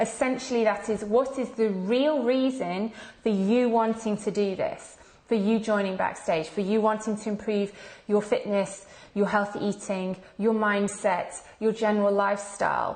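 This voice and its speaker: Moderate pace, fairly even intonation and medium pitch from a woman with an ordinary speaking voice. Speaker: fitness coach and membership founder. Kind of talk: live video presentation. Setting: live stream.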